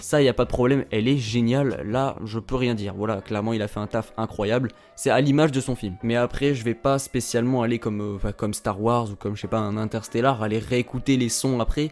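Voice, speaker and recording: A man of medium pitch talks at a fairly quick pace with hardly any pauses. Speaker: YouTube film critic. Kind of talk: casual film review. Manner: animated, hesitant with fillers.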